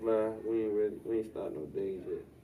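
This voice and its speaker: Fairly even intonation from a man, noticeable background noise behind him. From Washington DC, Northeast. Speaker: rapper. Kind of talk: casual interview.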